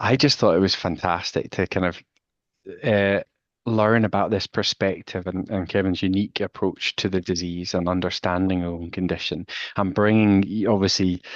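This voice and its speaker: Speaking with a Scottish accent, the voice moves at a moderate pace with fairly even intonation. The sound is dry and close with no echo, over a quiet background. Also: man, very deep, low pitch for a man. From Scotland. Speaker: walking therapy researcher. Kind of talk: casual chat. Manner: halting, many restarts.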